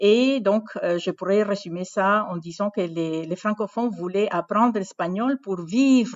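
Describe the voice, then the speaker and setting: Her pace is very slow, and she speaks with a Spanish accent. This woman's pitch is medium, with ordinary variation. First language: Spanish (speaking French). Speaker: university language program director. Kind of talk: interview. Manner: halting, many hesitations.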